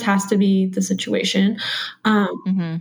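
Speaking in a plain, everyday voice, a woman holds a medium pitch and fairly even intonation. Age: 20s. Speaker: homemaker. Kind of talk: interview. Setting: remote video call.

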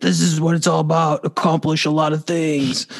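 A man puts on a character voice at a fairly high pitch. He talks at a moderate pace. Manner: unkind, roaring.

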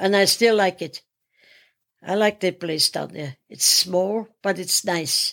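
A woman at a medium pitch and very slow pace, with a German accent, in a dry, close sound with no echo. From Austria. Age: 80s+. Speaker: retired gym-goer. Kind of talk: casual interview.

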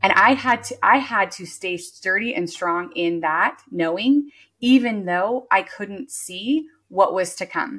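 Very slowly, a woman of medium pitch speaks with lively intonation and a bright, sharp tone, her loudness swinging widely. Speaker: business coach and entrepreneur. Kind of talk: casual interview chat.

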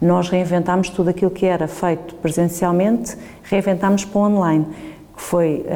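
A woman with a fairly low pitch speaks at a moderate pace, her loudness very even. Her intonation is monotone and flat, and there is noticeable background noise. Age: 50s. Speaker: business executive. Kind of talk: interview.

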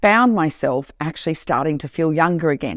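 Her voice is fairly low for a woman, with lively intonation. The sound is dry and close with no echo. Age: 60s. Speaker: podcast host. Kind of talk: solo monologue. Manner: animated.

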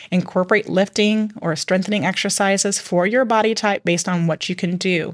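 Over a quiet background, a woman with a plain, everyday voice speaks at a medium pitch and a fairly quick pace, with hardly any pauses, very even loudness and fairly even intonation. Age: 40s. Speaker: podcast host, mom. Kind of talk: casual chat.

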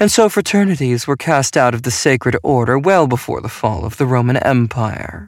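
Someone is reading aloud in a natural voice, the intonation lively.

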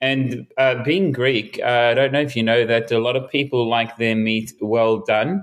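Speaking at a fairly slow pace with hardly any pauses, a man with an Australian accent keeps a medium pitch, ordinary pitch variation and very even loudness. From Melbourne, Australia. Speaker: street musician. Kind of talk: casual interview. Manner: halting.

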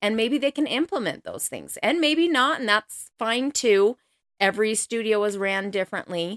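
A woman with a fairly high pitch speaks at a moderate pace with lively intonation, in a very clean recording with a silent background and a dry, close sound with no echo. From Colorado. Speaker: podcast host, dance mom. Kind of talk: casual monologue.

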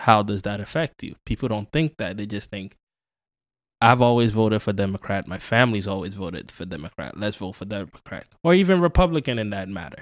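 Fairly low in pitch, a man with an American accent talks at a fairly quick pace, with lively intonation and big swings in loudness. The sound is dry and close with no echo, on a very clean recording with a silent background. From Ghana, came of age in South Bronx, New York. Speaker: podcast guest, producer. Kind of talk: casual political talk.

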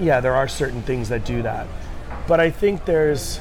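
With music in the background and audible room echo, a man with an American accent talks at a fairly high pitch with lively intonation. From US New England, Rhode Island. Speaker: chef. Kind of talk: casual interview.

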